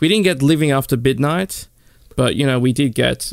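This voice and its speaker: A man with an Australian accent speaks fairly quickly. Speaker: podcast host and radio presenter. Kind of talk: casual chat. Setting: studio.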